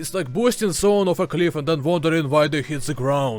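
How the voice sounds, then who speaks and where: Music plays in the background as a man with a Ukrainian accent talks at a fairly quick pace. His pitch is fairly high, with ordinary variation. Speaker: video essayist. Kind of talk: video essay narration.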